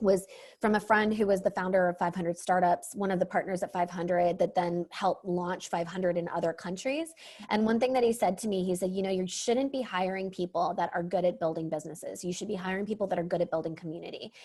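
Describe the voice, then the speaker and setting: A woman talks at a very fast pace. Her pitch sits in the medium range, and her intonation stays fairly even. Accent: strong American. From Pakistan. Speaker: venture capital investor, co-founder. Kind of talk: podcast interview. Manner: chatty.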